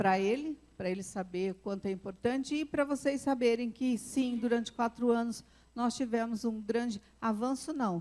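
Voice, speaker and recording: A woman's fairly high voice shows ordinary pitch variation as she talks at a fairly slow pace. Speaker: psychologist and conference speaker. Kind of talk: conference talk. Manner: animated.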